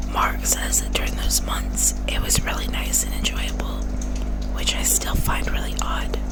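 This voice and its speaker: A woman whispers over noticeable background noise. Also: moderate pace. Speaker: ASMR true crime YouTuber. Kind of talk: ASMR true crime narration. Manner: whispered.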